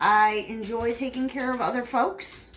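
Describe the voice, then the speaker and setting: The woman's pitch is high, with ordinary variation. She speaks at a fairly slow pace. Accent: Southern US. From upstate New York. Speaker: home cook vlogger. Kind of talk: casual chat. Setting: home kitchen. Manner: rambling, filler-heavy casual talk.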